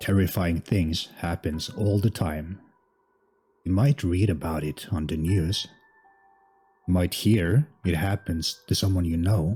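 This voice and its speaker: Over music in the background, a man with a non-native accent speaks at a fairly slow pace with long, frequent pauses. His very deep, low pitch shows ordinary variation. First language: not English. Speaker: horror story narrator. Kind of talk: scary story narration.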